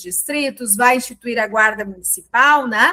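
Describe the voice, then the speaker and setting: Her tone bright and sharp, a woman speaks at a high pitch and moderate pace with ordinary pitch variation. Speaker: teacher. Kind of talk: lecture. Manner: casual, conversational.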